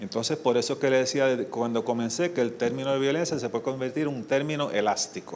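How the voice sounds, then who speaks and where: A speaker with a Puerto Rican accent talks at a fairly quick pace, with ordinary pitch variation. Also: man. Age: 70s. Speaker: criminologist and social worker. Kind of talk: conference lecture.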